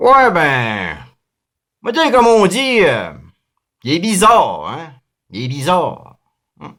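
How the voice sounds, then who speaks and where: Putting on a character voice, a man drawls in a high pitch with very wide pitch swings, raising and projecting his voice at a fairly slow pace with long, frequent pauses. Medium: read story. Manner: drawling, hesitant, repetitive.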